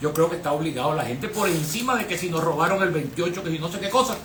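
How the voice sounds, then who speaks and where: A raised, projected voice carries over noticeable background noise with audible room echo. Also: man. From Venezuela. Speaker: lawyer, historian and former electoral official. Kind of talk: radio interview.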